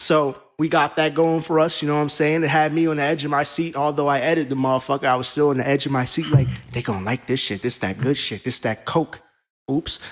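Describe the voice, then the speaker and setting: Very fast pace from a man, with music in the background. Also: fairly high pitch for a man, fairly even intonation. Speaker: wrestling show creator and podcast host. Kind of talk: casual podcast chat. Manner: stuttering, talking over words.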